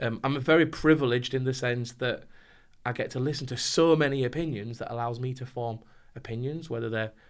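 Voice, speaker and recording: A man talks at a very fast pace with fairly even intonation in a northern English accent. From northern England. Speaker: compliance trainer. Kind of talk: podcast interview.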